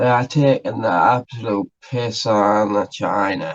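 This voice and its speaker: Speaking at a fairly slow pace, a man talks with a Northeast English accent. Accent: North-East English. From North-East England. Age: 20s. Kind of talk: casual reaction commentary.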